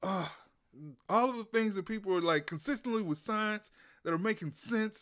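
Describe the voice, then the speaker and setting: At a moderate pace and with ordinary pitch variation, the speech has long, frequent pauses on a very clean recording with a silent background. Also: man, high pitch for a man. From Louisiana. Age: 30s. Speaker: comedian. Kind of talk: casual chat. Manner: relaxed.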